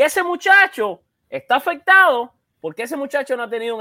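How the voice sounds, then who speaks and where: On a very clean recording with a silent background and a dry, close sound with no echo, a man uses a raised, projected voice with a bright, sharp tone, extremely high in pitch, at a fairly quick pace. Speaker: podcast host. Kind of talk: sports podcast panel discussion. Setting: at home in a room, isolating.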